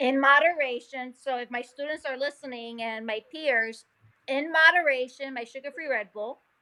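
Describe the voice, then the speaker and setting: This woman's raised, projected voice has a bright, sharp tone and a high pitch. She keeps a moderate pace, with big swings in loudness. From New York, Puerto Rican family (Nuyorican). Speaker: molecular geneticist and science teacher. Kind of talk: casual interview. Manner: animated.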